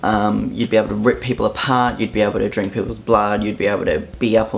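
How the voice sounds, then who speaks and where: Someone with an Australian accent talks at a very fast pace over noticeable background noise. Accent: Australian, moderately strong. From southeast Queensland, Australia (Brisbane area). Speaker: YouTuber. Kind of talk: casual vlog, accent tag. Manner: casual, hesitant fillers.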